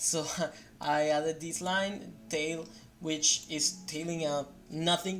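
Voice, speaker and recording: Someone with a non-native accent speaks over music in the background. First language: not English. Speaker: software developer. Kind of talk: tutorial. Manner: halting; unrehearsed.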